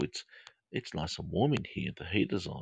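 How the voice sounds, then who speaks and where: A calm, relaxed, somewhat breathy delivery at a moderate pace, with an Australian accent and a dry, close sound with no echo. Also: man. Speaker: counselor and podcast host. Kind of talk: live podcast with guided meditation. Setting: home studio, live stream. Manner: calm, relaxed, soothing.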